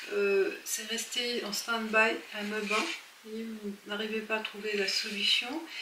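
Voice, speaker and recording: Soft-spoken and very slow, a woman with a fairly high pitch and ordinary pitch variation comes through with audible room echo and noticeable background noise. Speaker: tarot reader. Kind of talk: tarot reading. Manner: halting.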